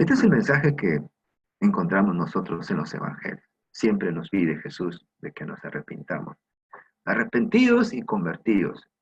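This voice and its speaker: Vocal fry runs through a man's voice. He speaks at a moderate pace with very wide pitch swings. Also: fairly high pitch for a man, big swings in loudness. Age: 60s. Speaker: preacher. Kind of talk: sermon.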